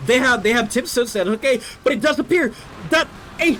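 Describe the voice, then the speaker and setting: A voice with a non-native accent comes through over noticeable background noise. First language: not English. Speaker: game caster. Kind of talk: live commentary. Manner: animated.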